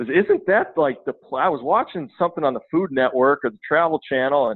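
A man with an American accent talks at a fairly quick pace in fairly high pitch. It's an ordinary speaking voice. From Minnesota, US (southwestern, Redwood Falls). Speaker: football coach. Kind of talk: casual interview chat.

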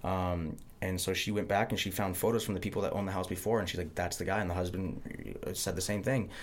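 Audible room echo surrounds a man whose very deep, low voice moves at a fairly quick pace. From Montana. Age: 30s. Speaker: podcast host. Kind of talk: casual chat.

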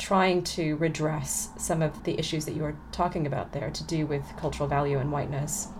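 A woman's somewhat breathy, fairly low voice at a moderate pace, with audible room echo. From California, US. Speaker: poet and literature professor. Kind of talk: interview conversation; poetry reading. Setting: remote recording.

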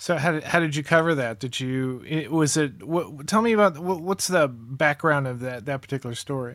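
Barely pausing, a man with a plain, everyday voice talks at a moderate pace and fairly high pitch, with ordinary pitch variation. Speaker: podcast host. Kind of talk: interview.

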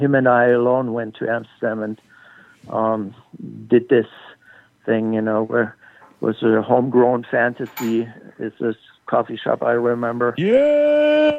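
Pausing long and often, a man talks at a fairly slow pace with a medium pitch and monotone, flat intonation. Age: 60s. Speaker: cannabis photographer. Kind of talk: interview.

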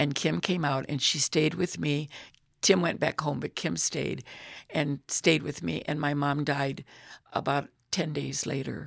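A woman speaks at a fairly slow pace in a very deep, low voice with vocal fry, on a very clean recording with a silent background. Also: ordinary pitch variation. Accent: American. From US Midwest, Illinois. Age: 80s+. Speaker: retired teacher, church member. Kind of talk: personal faith testimony.

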